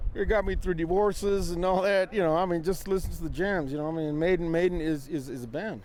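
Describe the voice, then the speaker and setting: Audible room echo surrounds a man with an American accent and a high pitch with ordinary pitch variation. He talks at a very fast pace with hardly any pauses. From Texas, El Paso. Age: 40s. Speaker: concert fan. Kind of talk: vox pop interview. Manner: halting, repetitive.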